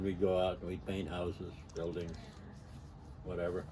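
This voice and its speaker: At a moderate pace, a man with a very deep, low pitch and a dark, mellow tone speaks somewhat breathily in a monotone, flat way amid audible room echo. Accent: American. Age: 80s+. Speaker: storyteller recounting his life. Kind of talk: personal reminiscence monologue. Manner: halting, with many fillers.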